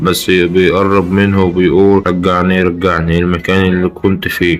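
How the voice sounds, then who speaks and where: This man speaks with an Egyptian accent in a very deep, low voice, using flat, monotone intonation at a fairly slow pace with very even loudness. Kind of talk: horror story narration.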